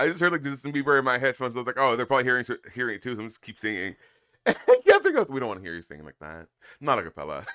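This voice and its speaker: A man talks very fast in a bright, sharp tone at a medium pitch. His intonation is lively. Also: big swings in loudness. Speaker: streamer. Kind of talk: casual chat. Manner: animated.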